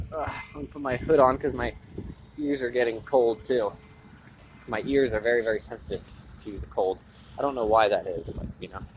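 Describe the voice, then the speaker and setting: Over noticeable background noise, a man with a medium-pitched voice talks at a fairly quick pace with ordinary pitch variation and long, frequent pauses. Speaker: vlogger. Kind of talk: walking vlog monologue. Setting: outdoors, walking home. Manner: halting; louder than usual to reach the mic.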